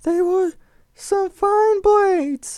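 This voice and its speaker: A man puts on a squeaky character voice. It sits at an extremely high pitch. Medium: read story.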